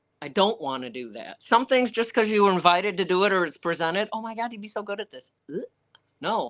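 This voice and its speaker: Her tone is animated and her intonation lively. This woman's pitch is medium. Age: 60s. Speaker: author and Arctic camp owner. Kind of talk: live Q&A.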